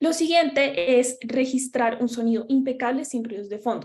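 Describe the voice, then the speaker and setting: A high-pitched woman with a strong Bogotá accent, moderate pace and ordinary pitch variation. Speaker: workshop presenter on podcasting. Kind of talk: workshop lecture.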